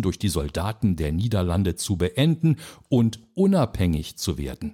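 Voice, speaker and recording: Somewhat breathy, dark, mellow tone from a man at a fairly slow pace, with very wide pitch swings, on a very clean recording with a silent background. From Belgium. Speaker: podcast host. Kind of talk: scripted narration. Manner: formal.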